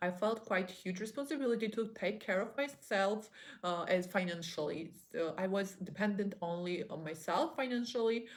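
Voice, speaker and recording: A woman speaks with a non-native accent at a medium pitch. Her pace is moderate, and her pitch varies in an ordinary way. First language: not English. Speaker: online business vlogger. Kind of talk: motivational monologue. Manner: halting.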